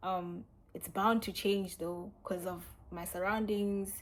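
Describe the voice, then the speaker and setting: A woman speaks with a South African accent at a medium pitch. Her intonation is monotone and flat. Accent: South African, little changed. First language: Sotho. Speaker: YouTuber. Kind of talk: casual Q&A vlog.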